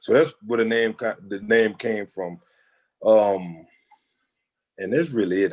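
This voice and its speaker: A man in a Louisiana accent at medium pitch, with ordinary pitch variation and a fairly quick pace. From Louisiana, Jennings. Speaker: photographer. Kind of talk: interview. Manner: halting, many fillers.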